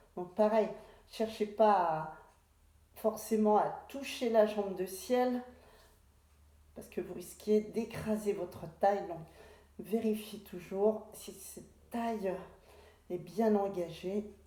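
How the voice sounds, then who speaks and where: A woman's very slow, calm speech in a dark, mellow tone, with fairly even intonation, long, frequent pauses and big swings in loudness. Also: medium pitch for a woman. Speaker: pilates instructor. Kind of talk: exercise class instruction. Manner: slow, calm guiding.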